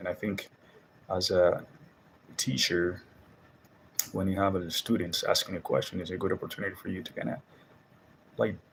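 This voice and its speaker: A man with a Spanish accent. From Dominican Republic. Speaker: Spanish teacher and video host. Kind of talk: casual monologue vlog. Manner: casual, halting with fillers.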